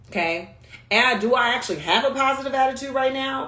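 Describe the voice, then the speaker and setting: At a very fast pace, a woman speaks with audible room echo. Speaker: communication coach. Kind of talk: livestream talk. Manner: animated; high energy.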